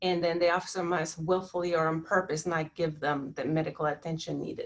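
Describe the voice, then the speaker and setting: A woman uses an ordinary speaking voice, fairly low in pitch, talking at a moderate pace with fairly even intonation. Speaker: panelist presenting on civil rights law. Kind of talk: webinar presentation.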